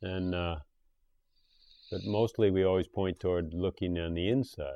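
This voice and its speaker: Fairly even intonation at a moderate pace. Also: man, very deep, low pitch for a man. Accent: American. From USA. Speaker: podcast host. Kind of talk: interview. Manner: casual.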